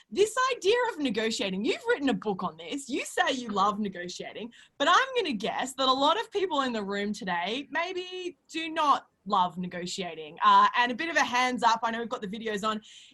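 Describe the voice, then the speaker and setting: High-pitched woman with an Australian accent, at a fairly quick pace with very wide pitch swings. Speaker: CEO and panel moderator. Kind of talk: webinar panel moderation.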